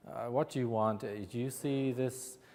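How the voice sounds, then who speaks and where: A man speaks at medium pitch in an Irish accent. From Ireland. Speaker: agile coach and consultant. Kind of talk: presentation to audience.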